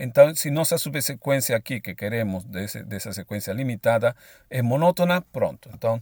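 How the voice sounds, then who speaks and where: A man with a medium-pitched voice talks at a moderate pace with lively intonation and big swings in loudness, in a very clean recording with a silent background and a dry, close sound with no echo. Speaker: math lecturer. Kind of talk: lecture. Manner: hesitant, with repeated filler words.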